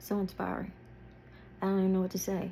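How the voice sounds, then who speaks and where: A woman's somewhat breathy voice, medium in pitch, with a dark, mellow tone. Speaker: lifestyle and fashion vlogger. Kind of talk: casual reaction vlog.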